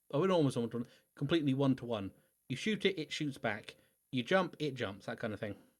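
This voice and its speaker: This is a man, talking very fast. The recording is very clean and the background silent. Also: medium pitch for a man, lively intonation. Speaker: video game streamer. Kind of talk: gameplay commentary livestream. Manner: halting, self-correcting; mumbling to self.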